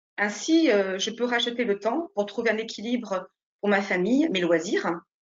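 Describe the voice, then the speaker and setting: A woman talks in an unremarkable speaking voice. Her pace is moderate. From France, Nice. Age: 40s. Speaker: real estate agent. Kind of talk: interview.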